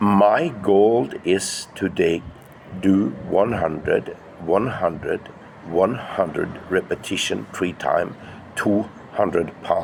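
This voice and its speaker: A man's very slow speech at very even loudness, with noticeable background noise. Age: 60s. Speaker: fitness vlogger. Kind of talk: casual vlog monologue. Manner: halting.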